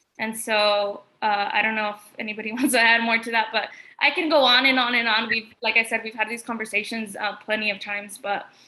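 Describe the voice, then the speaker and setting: A woman talks with a Spanish accent. She barely pauses at all. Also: fairly quick pace. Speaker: artist. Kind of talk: panel discussion. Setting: art gallery, livestream.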